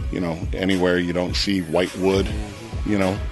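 With clear music in the background, a man talks at a moderate pace in a very deep, low pitch with ordinary pitch variation. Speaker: factory tour guide. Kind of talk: interview answer. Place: factory. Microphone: handheld.

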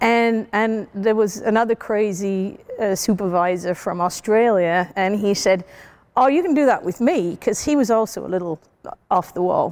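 A woman with a British accent talks at a moderate pace with ordinary pitch variation. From UK. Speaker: CEO and scientist. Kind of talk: interview answer. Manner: casual, storytelling. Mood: animated, humorous storytelling. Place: hall.

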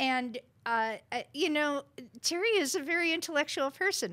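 A woman's raised, projected voice has a bright, sharp tone and very wide pitch swings. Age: 60s. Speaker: congressional candidate. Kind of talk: interview on a political talk show. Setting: studio. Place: studio. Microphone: studio mic.

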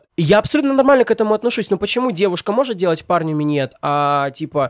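Pitch swings very widely as a man talks at a fairly quick pace. The background is quiet and the sound dry with no echo. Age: 20s. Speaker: blogger and comedic video maker; blogger. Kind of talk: casual chat. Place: studio. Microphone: studio mic.

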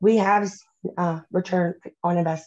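A woman's voice has a dark, mellow tone. The background is quiet. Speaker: home decor company representative. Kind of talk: panel discussion. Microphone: video call.

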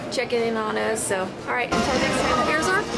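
Over loud background noise, a woman talks with ordinary pitch variation. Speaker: travel vlogger. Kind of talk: casual vlog chat. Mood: relieved, excited. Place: station. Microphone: phone near.

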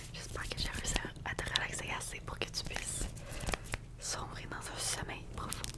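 A woman whispers at a moderate pace. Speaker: ASMR creator. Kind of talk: soft ASMR chat to viewer. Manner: soft, hushed ASMR voice close to the mic. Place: home room. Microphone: studio mic.

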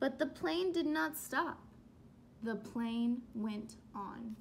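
A woman talks at a slow pace in a high pitch, with lively intonation and vocal fry.

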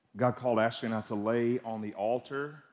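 A man is speaking. He has a Southern US accent. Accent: Southern US (Georgia). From US South, Georgia (Atlanta area). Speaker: guest preacher. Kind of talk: sermon. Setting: church service with congregation. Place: church. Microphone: headset.

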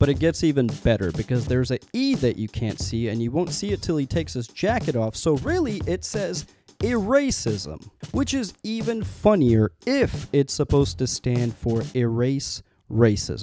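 Over music in the background, a man talks at a moderate pace with very wide pitch swings, the sound dry with no echo. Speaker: video commentator. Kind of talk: comedic commentary. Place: studio. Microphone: handheld.

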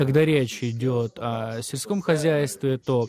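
Faint music plays behind a man speaking at a very slow pace. His pitch varies in an ordinary way, and the sound is dry with no echo. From Ukraine. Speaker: Ukrainian member of parliament; politician guest. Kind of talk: live TV interview. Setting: remote video link. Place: home room.

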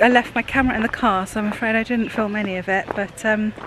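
Woman at a fast pace, fairly bright tone, medium pitch, fairly even intonation, faint background noise

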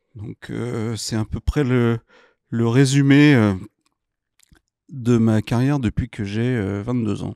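Against a quiet background, a man speaks in a dark, mellow tone at a very slow pace with long, frequent pauses, fairly even intonation and a dry sound with no echo. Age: 50s. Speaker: entrepreneur; guest. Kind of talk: interview. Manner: hesitant, many fillers. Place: studio. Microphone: studio mic.

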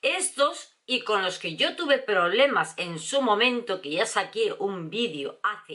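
An animated woman's voice with very wide pitch swings. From Spain, Valencia. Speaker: beauty vlogger. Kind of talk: product review vlog. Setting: at home. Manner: chatty, animated. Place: home room. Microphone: camera far.

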